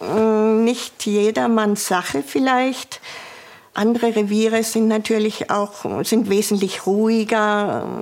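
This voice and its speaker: A woman with a Swabian accent speaks very slowly at a fairly high pitch, her intonation fairly even and her loudness very even. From Swabia, southern Germany. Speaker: former police officer. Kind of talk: interview testimony. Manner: halting.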